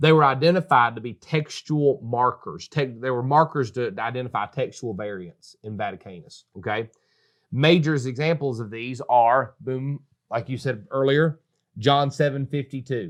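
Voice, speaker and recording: Speaking with a North Carolina accent, a man at a medium pitch shows big swings in loudness. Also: ordinary pitch variation, moderate pace, quiet background. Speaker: pastor. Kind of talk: casual religious discussion. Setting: studio. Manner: animated.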